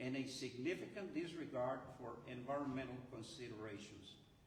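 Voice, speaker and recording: A man with an American accent, medium pitch for a man, ordinary pitch variation and a moderate pace, amid audible room echo and noticeable background noise. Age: 70s. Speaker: retired chemical engineer, activist. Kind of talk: press conference speech. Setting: press conference. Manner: animated.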